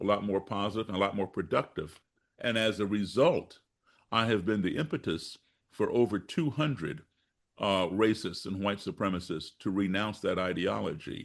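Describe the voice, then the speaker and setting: An ordinary speaking voice from a man with an American accent, fairly low in pitch, with ordinary pitch variation, a moderate pace and a quiet background. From grew up abroad and in the US (born Chicago). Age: 60s. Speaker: musician and race-relations activist. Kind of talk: podcast interview.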